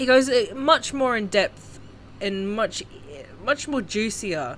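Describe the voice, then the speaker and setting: The speaker has an Australian accent. The pace is fairly slow. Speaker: YouTube commentator. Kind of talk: casual commentary vlog.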